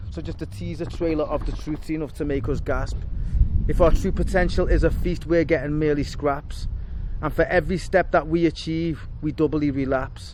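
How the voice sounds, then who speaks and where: With a Liverpool accent, a man speaks at a moderate pace over noticeable background noise. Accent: Liverpool (Scouse). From Liverpool, England. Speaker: spoken word poet. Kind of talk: spoken word performance. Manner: rhythmic.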